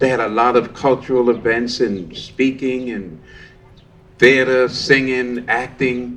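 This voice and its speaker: Audible room echo surrounds a man with an American accent who talks at a fairly slow pace and medium pitch. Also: fairly even intonation. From New York City. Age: 70s. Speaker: storytelling workshop participant. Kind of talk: personal storytelling performance. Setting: outdoor park stage with audience.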